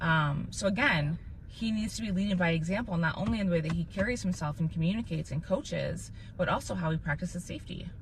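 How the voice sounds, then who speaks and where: Her tone animated and her voice fairly low with vocal fry, a woman talks at a very fast pace with ordinary pitch variation. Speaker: parent podcast host. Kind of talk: casual chat. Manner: loud.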